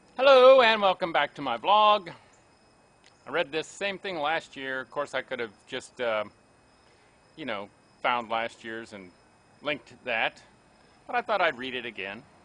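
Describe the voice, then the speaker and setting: A man with an American accent, fairly high-pitched, bright and sharp in tone, with very wide pitch swings, big shifts in loudness, and long, frequent pauses. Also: moderate pace. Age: 60s. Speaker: blogger. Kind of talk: reading aloud.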